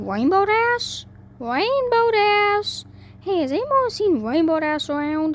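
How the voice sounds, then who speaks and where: In a put-on character voice, a female-sounding speaker uses an extremely high pitch and a raised, projected voice, making very wide pitch swings at a fairly slow pace over clear background noise. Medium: read story. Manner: folksy, plainspoken.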